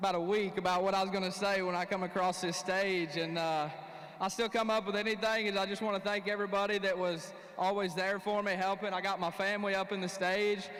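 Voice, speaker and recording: A man with a high pitch talks at a fairly quick pace in a monotone, flat intonation. The recording carries audible room echo and noticeable background noise. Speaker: professional bass angler. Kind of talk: on-stage interview. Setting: stage with audience. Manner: halting.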